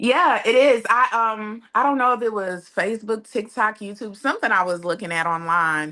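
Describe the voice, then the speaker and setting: Over a quiet background, a woman with a fairly high, bright, sharp voice talks at a moderate pace with lively intonation. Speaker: expat interviewee. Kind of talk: interview.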